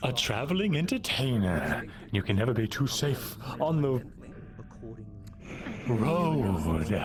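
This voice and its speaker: In a put-on character voice, a man takes a theatrical, playful tone at a fairly slow pace with long, frequent pauses, over clear background noise. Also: medium pitch for a man. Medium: actual play.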